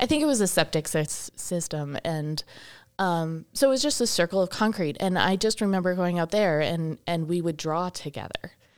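A woman speaks at a moderate pace with a fairly low pitch and a plain, everyday voice. The recording is very clean, with a silent background. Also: lively intonation. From Wisconsin, Milwaukee area. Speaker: shop owner and event organizer. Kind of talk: casual interview. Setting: studio.

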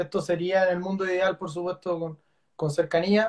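A man talks with a Chilean accent. His pitch is high. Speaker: author and editor interviewer. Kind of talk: live online book launch interview. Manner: halting, many repetitions.

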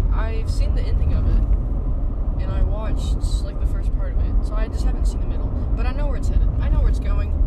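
With an American accent, a man speaks at a fairly quick pace with hardly any pauses, amid noticeable background noise and audible room echo. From United States. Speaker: podcast co-host. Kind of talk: casual chat. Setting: in a car. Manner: animated.

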